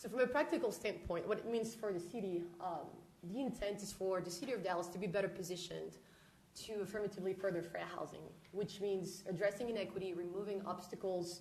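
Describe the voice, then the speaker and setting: Someone talks at a very fast pace in a French accent, with ordinary pitch variation, audible room echo and noticeable background noise. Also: woman, medium pitch for a woman. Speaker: housing researcher presenting to city council. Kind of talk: presentation. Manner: formal.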